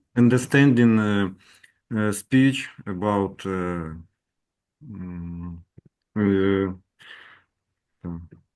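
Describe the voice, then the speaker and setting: A man's fairly low voice in a Russian accent, very slow, with long, frequent pauses and ordinary pitch variation. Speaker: English learner, class participant. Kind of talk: feedback in class. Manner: halting.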